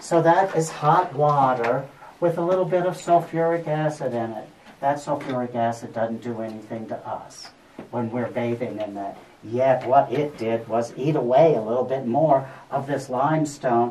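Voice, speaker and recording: Moderate pace with light background noise. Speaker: cave tour guide. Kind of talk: guided tour talk. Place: tunnel cave. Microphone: camera far.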